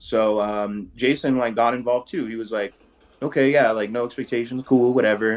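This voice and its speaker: Here is a man with a plain, everyday voice at medium pitch. He keeps a moderate pace and fairly even intonation. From various US states, mainly San Diego. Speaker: rave crew co-founder. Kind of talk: interview.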